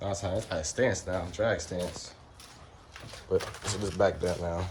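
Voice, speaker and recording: A man talks fairly slowly in a somewhat breathy voice. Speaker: car enthusiast vlogger. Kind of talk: casual vlog. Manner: halting.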